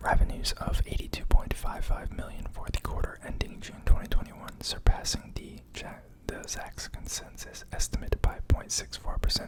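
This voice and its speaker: A man whispering, with big swings in loudness and noticeable background noise. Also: fairly quick pace. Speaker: ASMR stock market video creator. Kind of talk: casual talk to camera, finance analysis. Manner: whispered, soft-spoken.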